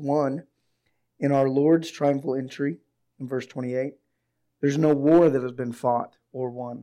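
Speaking at a moderate pace, a man uses a fairly high pitch in a flat monotone. His tone is dark and mellow. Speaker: pastor. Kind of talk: sermon. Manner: subdued, unable to raise voice.

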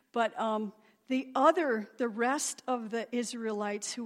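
A woman with an ordinary speaking voice speaks at a fairly slow pace and fairly high pitch, with ordinary pitch variation. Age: 50s. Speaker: guest preacher. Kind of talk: sermon. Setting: church stage with congregation.

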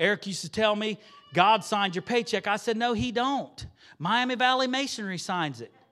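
With an American accent, a man speaks in a raised, projected voice that is high-pitched, bright, sharp and animated, at a fairly quick pace. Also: ordinary pitch variation. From southwest Ohio, US (Xenia). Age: 40s. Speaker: lay preacher, former church music leader. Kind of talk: sermon. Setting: church with congregation. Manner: animated, conversational.

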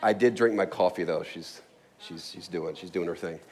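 A man's voice at a medium pitch. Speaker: pastor. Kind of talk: sermon. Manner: fast.

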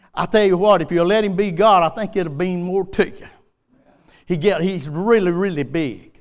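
A man with a Southern US accent, high pitch, ordinary pitch variation and a moderate pace. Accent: US South. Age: 60s. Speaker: preacher. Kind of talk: sermon. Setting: church.

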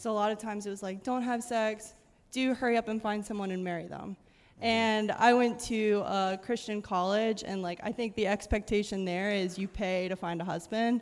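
A woman with an American accent talks at a moderate pace and medium pitch, with fairly even intonation. She has an unremarkable speaking voice, on a very clean recording with a silent background. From Pennsylvania. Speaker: science teacher. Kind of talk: panel discussion at church service.

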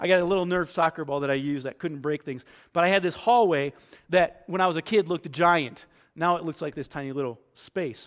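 A man talks at a fairly quick pace with ordinary pitch variation in a normal speaking voice. The recording is very clean, with a silent background. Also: fairly high pitch for a man. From New York. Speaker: pastor. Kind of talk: sermon.

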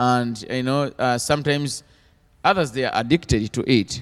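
His medium-pitched voice keeps fairly even intonation and a moderate pace. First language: not English. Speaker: missionary. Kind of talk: interview testimony in church. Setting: church stage with congregation. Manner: halting.

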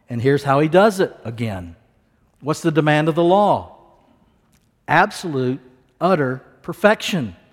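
A man with a normal speaking voice talks at a moderate pace, his fairly high pitch showing ordinary variation. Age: 60s. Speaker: pastor. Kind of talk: sermon.

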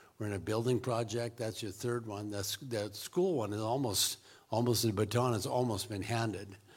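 With an American accent, a man speaks somewhat breathily at a moderate pace and with fairly even intonation. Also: medium pitch for a man. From US Pacific Northwest. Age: 60s. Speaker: missionary. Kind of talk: interview. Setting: church.

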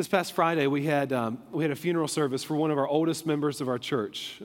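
In a very clean recording with a silent background, a man with an ordinary speaking voice talks at a fairly quick pace, his fairly high pitch held in fairly even intonation. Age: 30s. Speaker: pastor. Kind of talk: sermon. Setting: church.

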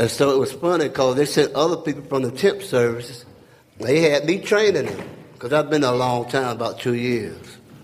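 A man's fairly high pitch with ordinary variation, plus noticeable background noise. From North Carolina. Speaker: church member. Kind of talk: testimony. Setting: church gathering.

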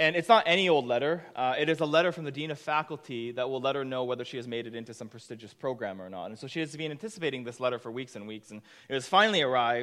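Talking very fast with hardly any pauses, a man at medium pitch uses lively intonation and big swings in loudness. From Japan. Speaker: pastor. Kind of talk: sermon. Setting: church.

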